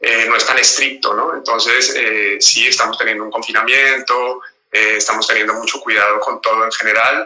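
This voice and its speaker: A man speaks with a Colombian accent. His pace is moderate. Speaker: actor, voice actor and dancer. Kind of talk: interview. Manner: halting, many fillers and repetitions.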